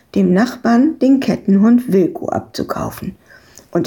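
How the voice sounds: Heard here is a natural reading voice. That is the voice in this recording.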